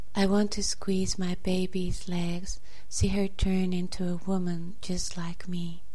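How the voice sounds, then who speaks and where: A solemn tone at a very slow pace, with noticeable background noise. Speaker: podcast host reading a poem. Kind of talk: poetry reading aloud. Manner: measured, solemn, slow-paced reading; halting, hesitant when commenting.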